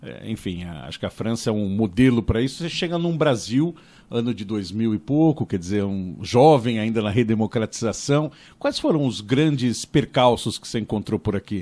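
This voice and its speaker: Dark and mellow, a man's voice at medium pitch, its intonation lively and its pace moderate. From Brazil (São Paulo, Bom Retiro). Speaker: podcast host. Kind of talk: interview conversation.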